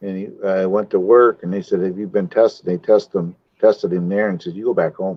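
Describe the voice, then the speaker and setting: At a moderate pace, a man speaks with a fairly low pitch and fairly even intonation. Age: 60s. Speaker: cycling vlogger. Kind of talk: casual chat. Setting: live stream. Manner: halting.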